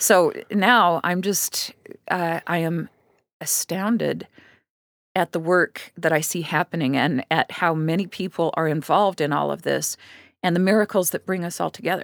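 In a dry, close sound with no echo, a woman talks at a moderate pace with a fairly low pitch, fairly even intonation and vocal fry. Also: very clean recording, silent background. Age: 60s. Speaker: writer and documentary filmmaker. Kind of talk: interview.

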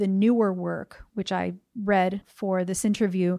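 A woman with an American accent speaks at a medium pitch in a dark, mellow tone with fairly even intonation. The sound is dry and close with no echo, and the recording is very clean against a silent background. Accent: general American with New Jersey tinge. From US Northeast (New Jersey). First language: Spanish. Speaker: poet and translator. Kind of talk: interview conversation.

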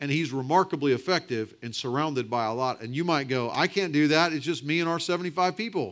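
A man at a fairly high pitch, very fast pace with hardly any pauses, very clean recording with a silent background. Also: ordinary pitch variation. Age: 40s. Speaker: pastor and church planting coach. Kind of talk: conference breakout talk. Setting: conference breakout room with audience.

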